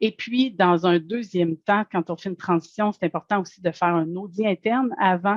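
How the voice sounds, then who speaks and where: A woman speaks with a normal speaking voice at a medium pitch and a moderate pace. Her intonation is fairly even, and the sound is dry and close with no echo. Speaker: food safety certification advisor. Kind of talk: webinar presentation. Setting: online webinar.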